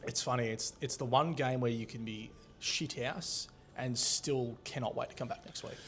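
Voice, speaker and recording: This man speaks with an Australian accent at a medium pitch and a moderate pace. His intonation stays fairly even. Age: 20s. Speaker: podcast host. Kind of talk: casual chat. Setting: recorded at a hotel venue.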